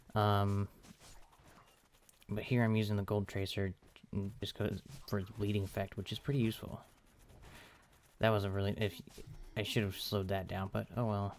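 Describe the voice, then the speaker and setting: A man speaks quietly at a fairly low pitch and a moderate pace, his intonation flat and monotone. He leaves long, frequent pauses. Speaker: gaming let's play creator. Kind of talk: gameplay commentary. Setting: home recording at night. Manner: halting.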